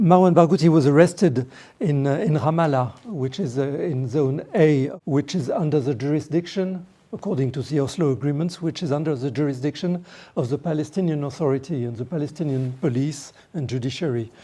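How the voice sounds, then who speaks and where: The speaker has a French accent and moves at a fairly quick pace. The background is quiet. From France. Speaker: lawyer. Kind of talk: panel talk. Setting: parliament meeting room. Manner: halting.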